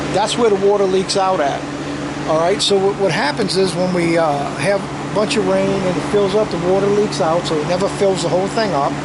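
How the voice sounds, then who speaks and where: A man with a high pitch and an American accent, fairly quick pace and fairly even intonation, with audible room echo and noticeable background noise. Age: 60s. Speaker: homesteading vlogger. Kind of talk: casual walkthrough vlog. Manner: halting, many repetitions and fillers.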